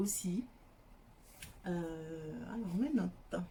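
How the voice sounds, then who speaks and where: Ordinary pitch variation marks this very slow delivery. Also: woman. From Senegal. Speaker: YouTuber. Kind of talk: casual vlog introduction. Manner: hesitant, many fillers.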